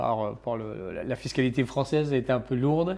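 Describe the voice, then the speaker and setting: On a very clean recording with a silent background, someone talks at a moderate pace. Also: man. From Réunion. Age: 60s. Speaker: entrepreneur. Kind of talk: casual interview. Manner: hesitant, many fillers.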